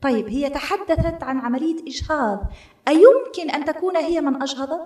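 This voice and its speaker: A woman with an Algerian accent speaks with very wide pitch swings. The background is quiet, with audible room echo. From Algeria, Aurès mountains. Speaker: novelist and journalist; journalist. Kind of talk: lecture-style talk with audience. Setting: stage with audience. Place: hall. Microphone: podium.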